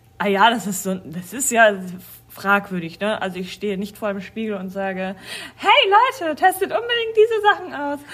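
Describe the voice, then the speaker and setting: A woman talks at a moderate pace with big swings in loudness. Noticeable background noise is present. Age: 40s. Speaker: dance school staff and podcast co-host. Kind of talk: casual chat.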